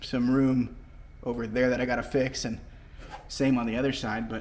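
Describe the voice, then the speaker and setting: Medium-pitched male speech in a room with audible echo. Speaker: car fabricator and restoration video maker. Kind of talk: workshop tutorial. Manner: casual, rambling with fillers; loud.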